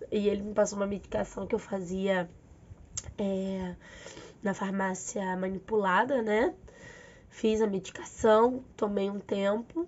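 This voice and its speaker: Long, frequent pauses mark a woman's fairly slow speech at medium pitch with fairly even intonation. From Rio de Janeiro. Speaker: physical education teacher. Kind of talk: casual talk to camera.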